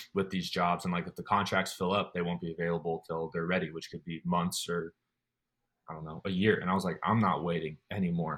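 A man talks at a fairly quick pace with a General American accent. His very deep, low pitch stays monotone, with flat intonation. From Colorado. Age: 20s. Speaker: army special forces trainee. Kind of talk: casual interview.

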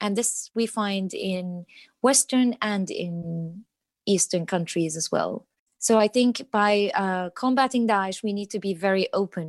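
A woman at a medium pitch with an Arabic accent, fairly slow, with ordinary pitch variation, in a dry, close sound with no echo and a quiet background. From Iraq (Baghdad). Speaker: translator. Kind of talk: interview. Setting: remote call.

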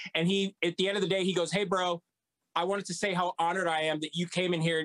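Bright and sharp in tone, a man speaks at a high pitch and a fairly quick pace, his pitch varying in an ordinary way. The sound is dry and close, with no echo. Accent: American. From Texas (San Antonio). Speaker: rock guitarist and singer. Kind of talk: casual chat.

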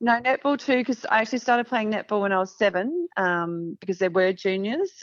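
A woman with an Australian accent speaks at a fairly quick pace with ordinary pitch variation. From country Victoria, Australia. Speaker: former Olympic basketball player. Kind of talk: interview.

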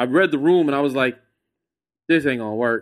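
Against a silent background in a very clean recording, a man with an American accent and a plain, everyday voice speaks at a fairly high pitch with ordinary pitch variation. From Texas, San Antonio. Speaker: comedian and podcaster. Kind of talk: casual chat.

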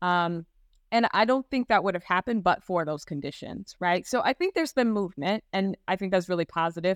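A woman with an American accent and an unremarkable speaking voice talks at a fairly quick pace in a medium pitch with ordinary pitch variation, on a very clean recording with a silent background and a dry, close sound with no echo. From US Midwest (Gary, Indiana). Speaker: law professor. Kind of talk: panel discussion.

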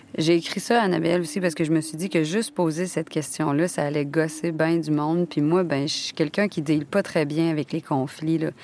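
Her pitch is very deep and low for a woman. She speaks at a fairly quick pace with hardly any pauses. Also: fairly even intonation. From Quebec. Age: 30s. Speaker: actress and podcast narrator. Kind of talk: scripted narration. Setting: studio.

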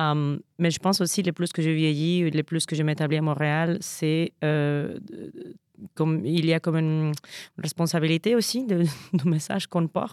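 A woman with a Spanish accent speaks at a very deep, low pitch with fairly even intonation and very even loudness, on a very clean recording with a silent background and a dry, close sound with no echo. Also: moderate pace. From Mexico, Veracruz. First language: Spanish (speaking French). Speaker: stage actor. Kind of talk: casual interview.

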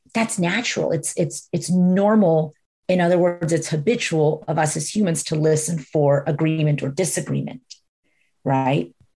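Somewhat breathy and dark, mellow in tone, a woman with an American accent speaks at a very deep, low pitch with ordinary variation. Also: moderate pace. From Florida, US. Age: 40s. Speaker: executive coach and spiritual guide. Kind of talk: casual chat.

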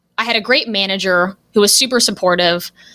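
A woman in a Californian accent, energetic and enthusiastic, at a moderate pace. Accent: General American, Californian. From Los Angeles, US West Coast. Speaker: email marketing strategist and copywriter. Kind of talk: podcast interview. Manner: energetic, enthusiastic.

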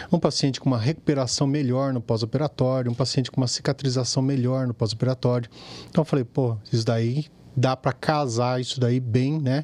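This man has an unremarkable speaking voice with a medium pitch. He talks at a fairly quick pace with fairly even intonation. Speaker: plastic surgeon. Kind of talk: casual chat.

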